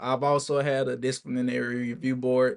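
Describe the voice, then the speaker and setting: A man with an ordinary speaking voice talks at medium pitch with fairly even intonation. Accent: American. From Alabama, US South. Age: 20s. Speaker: military service member and vlogger. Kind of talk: casual vlog monologue. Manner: casual, informal with filler words.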